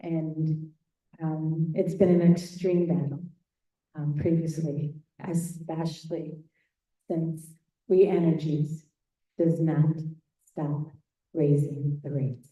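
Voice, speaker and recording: Speaking at a very slow pace with long, frequent pauses, a woman with an American accent uses a very deep, low pitch, a dark, mellow tone, a somewhat breathy sound and monotone, flat intonation. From Wisconsin, Racine. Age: 60s. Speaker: public commenter. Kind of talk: reading prepared statement. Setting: hearing room with mic.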